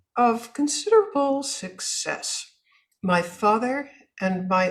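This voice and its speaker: A woman speaks with a somewhat breathy voice. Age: 80s+. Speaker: author and businesswoman. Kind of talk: interview.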